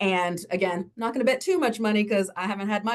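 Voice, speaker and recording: Here a woman talks at a fairly quick pace, her medium-pitched voice full of lively intonation. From US South. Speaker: university lecturer. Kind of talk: panel discussion. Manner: fast.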